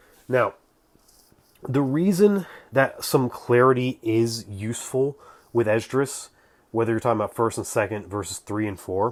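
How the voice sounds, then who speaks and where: Mumbling at medium pitch with lively intonation, a man talks at a moderate pace on a very clean recording with a silent background. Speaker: religious history commentator. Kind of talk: casual explainer talk to camera.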